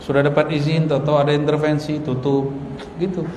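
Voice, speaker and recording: Through audible room echo and noticeable background noise, a man speaks in a monotone, flat intonation. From Indonesia, West Sumatra (Minangkabau). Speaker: Islamic preacher. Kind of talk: religious lecture.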